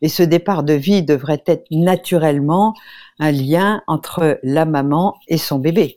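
Very slowly and at very even loudness, a woman speaks with a very deep, low pitch, a dark, mellow tone and ordinary pitch variation. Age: 70s. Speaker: nutritionist and naturopath. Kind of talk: radio interview. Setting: remote link from abroad.

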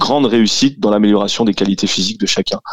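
Dry and close with no echo, a man with an unremarkable speaking voice talks in a fairly low pitch with fairly even intonation. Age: 30s. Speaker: CrossFit gym co-owner and fitness coach. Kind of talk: radio interview.

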